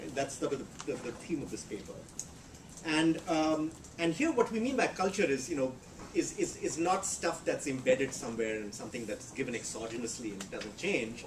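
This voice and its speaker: With audible room echo and noticeable background noise, a man speaks at a fairly high pitch, his voice making very wide pitch swings. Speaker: economist. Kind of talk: lecture. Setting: seminar room with audience. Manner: fast; halting, many repetitions and fillers.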